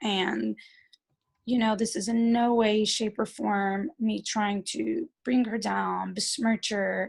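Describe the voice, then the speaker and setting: A somewhat breathy woman at a very slow pace, on a very clean recording with a silent background. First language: Yiddish. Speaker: speaker at a community event. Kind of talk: talk and interview before an audience. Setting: community event with audience. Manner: hesitant, many fillers and repeats.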